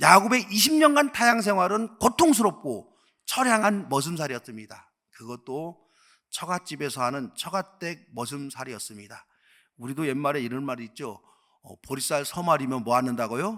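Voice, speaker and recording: A man's fairly high voice with a bright, sharp tone, very wide pitch swings, big swings in loudness and a moderate pace, on a very clean recording with a silent background. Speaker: pastor. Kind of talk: sermon.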